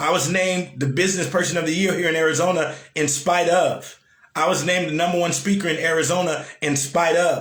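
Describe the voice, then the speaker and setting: An animated, high-pitched man's voice amid noticeable background noise. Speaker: motivational speaker. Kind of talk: live-stream motivational talk. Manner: animated, repetitive.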